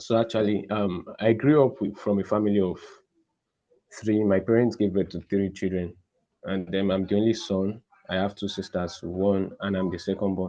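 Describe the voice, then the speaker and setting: This man has a Nigerian accent and a fairly low pitch. He keeps a moderate pace with fairly even intonation. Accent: Nigerian (Yoruba) English. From Nigeria, Osun State (Yoruba). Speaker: podcast guest. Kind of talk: interview. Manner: soft-spoken.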